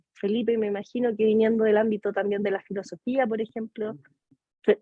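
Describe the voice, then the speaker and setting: A woman's fairly high, monotone, flat voice at a fairly quick pace. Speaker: psychology lecturer. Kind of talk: lecture.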